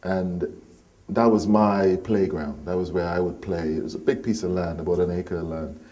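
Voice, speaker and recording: Audible room echo surrounds a man with a very deep, low pitch. He speaks at a moderate pace in a dark, mellow tone. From Trinidad and Tobago, near Port of Spain. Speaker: poet and musician. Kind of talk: interview.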